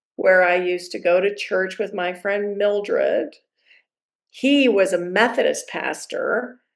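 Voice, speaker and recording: A speaker with an American accent talks at a fairly slow pace, with ordinary pitch variation. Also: woman, medium pitch for a woman. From US Midwest, Evanston, Illinois. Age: 60s. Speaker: priest and chaplain. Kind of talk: interview, personal life story. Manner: casual, digressive with fillers.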